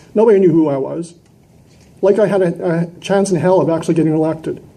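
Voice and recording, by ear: At a fairly quick pace, a man talks in a fairly high pitch with a dark, mellow tone and ordinary pitch variation, and the room echo is audible.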